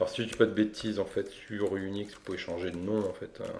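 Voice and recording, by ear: A man speaks at a low pitch with vocal fry and a slightly mellow tone. His pace is fairly slow, and audible room echo surrounds him.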